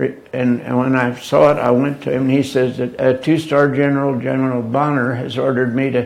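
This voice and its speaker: Over noticeable background noise, a man talks fairly quickly at a medium pitch with monotone, flat intonation. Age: 80s+. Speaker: war veteran. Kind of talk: interview answer.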